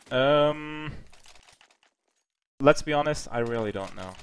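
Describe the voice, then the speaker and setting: A man with a German accent, fairly high pitch and a fairly slow pace. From Germany, near Heidelberg. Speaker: esports caster. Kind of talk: live commentary. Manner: animated.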